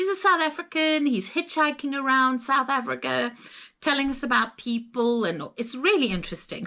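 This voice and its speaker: A woman with a Zimbabwean accent speaks at a high pitch in a bright, sharp tone with lively intonation. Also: very clean recording, silent background. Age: 60s. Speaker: travel vlogger. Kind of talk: casual chat.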